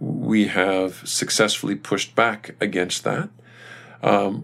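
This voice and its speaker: With a Canadian accent, a man speaks in a plain, everyday voice. His pitch is fairly low with ordinary pitch variation. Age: 50s. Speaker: retired army general. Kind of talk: interview.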